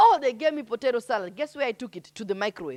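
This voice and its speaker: Shouting, a woman speaks in an animated tone. Her pitch swings very widely. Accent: Kenyan. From Kenya. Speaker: poet and storyteller. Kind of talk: stand-up style storytelling.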